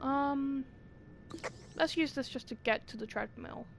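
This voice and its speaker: Her pitch is high. This woman speaks at a fairly slow pace. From Britain. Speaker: gaming streamer. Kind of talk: live gameplay commentary. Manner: goes quiet during blackouts; animated.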